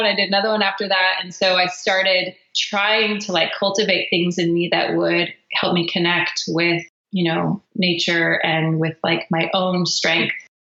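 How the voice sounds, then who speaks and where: Here is a woman with an unremarkable speaking voice and an American accent. Her pitch is medium and her loudness very even. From Philippines, raised by American parents. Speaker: singer-songwriter. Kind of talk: interview answer.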